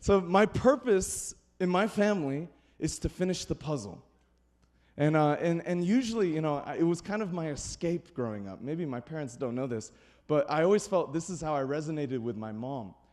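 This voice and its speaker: A loud, animated man with a fairly high pitch, very wide pitch swings and a moderate pace, on a very clean recording with a silent background. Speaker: pastor. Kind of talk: sermon.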